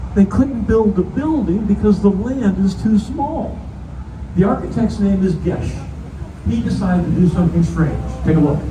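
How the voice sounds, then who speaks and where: Noticeable noise fills the background. The talking proceeds at a moderate speed. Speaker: tour guide. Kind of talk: guided tour commentary. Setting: outdoors on a tour boat. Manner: animated.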